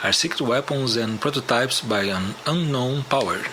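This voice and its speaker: A man of medium pitch with a non-native accent, moderate pace and ordinary pitch variation, against noticeable background noise. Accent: non-native English speaker. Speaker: musician and conspiracy show host. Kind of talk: documentary narration.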